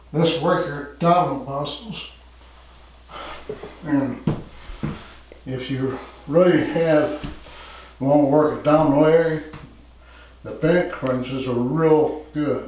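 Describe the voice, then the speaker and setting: A man with a fairly high voice speaks very slowly, with long, frequent pauses, ordinary pitch variation and big swings in loudness. Audible room echo and noticeable background noise surround him. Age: 60s. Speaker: fitness instructor. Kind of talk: tutorial. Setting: home gym.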